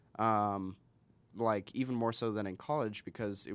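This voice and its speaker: Here is a man with an ordinary speaking voice and an American accent, his pitch fairly low. His intonation stays fairly even on a very clean recording with a silent background. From Washington State, US (Spokane). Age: 20s. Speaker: entrepreneur. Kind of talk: casual interview.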